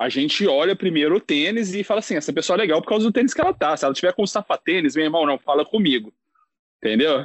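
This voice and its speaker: A man talks at a very fast pace in a high pitch. His loudness stays very even. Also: lively intonation. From Belo Horizonte, Brazil. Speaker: sneaker enthusiast content creator. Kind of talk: casual chat. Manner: animated.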